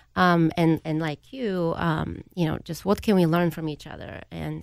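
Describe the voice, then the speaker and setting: In a Bulgarian accent, a woman with a fairly low pitch speaks at a moderate pace on a very clean recording with a silent background. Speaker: improv company executive. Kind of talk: radio panel discussion.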